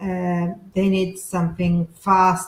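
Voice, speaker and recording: Her pace very slow, a woman speaks. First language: not English. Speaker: teacher and online seller. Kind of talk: casual chat. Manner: halting.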